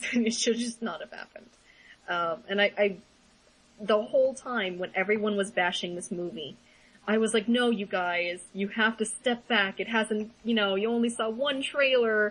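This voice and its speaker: At a moderate pace, a woman talks at a fairly high pitch with ordinary pitch variation. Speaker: podcast co-host. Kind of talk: casual chat. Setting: small room, shared mics. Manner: loud. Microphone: voice echoing off another mic.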